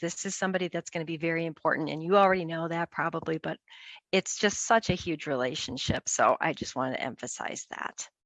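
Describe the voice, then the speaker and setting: A woman does a put-on character voice that is raspy and fairly low in pitch. She speaks at a very fast pace. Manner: fast, excited.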